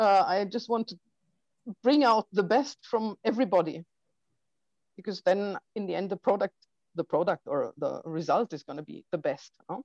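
At a moderate pace, a woman with a medium pitch and lively intonation speaks with long, frequent pauses, the sound dry and close with no echo. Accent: German. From Germany (Heilbronn, Baden-Württemberg). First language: German. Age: 50s. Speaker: documentary filmmaker. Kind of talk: interview. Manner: halting, with many fillers.

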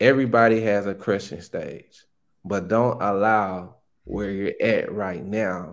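In a very clean recording with a silent background, a man with a Southern US accent speaks at a fairly slow pace and fairly low pitch, with ordinary pitch variation. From Arkansas, Pine Bluff (US South). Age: young. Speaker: real estate wholesaler. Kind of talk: casual interview.

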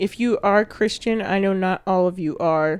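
In a plain, everyday voice, a woman speaks at a medium pitch and fairly slow pace with fairly even intonation. The recording is very clean, with a silent background. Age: 20s. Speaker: podcast co-host. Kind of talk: casual chat.

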